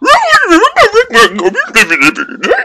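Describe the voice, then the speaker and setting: A put-on character voice from a man, extremely high-pitched and excited in tone. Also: fairly slow pace. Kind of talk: comic dubbing of game dialogue. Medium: game stream. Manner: excited, garbled.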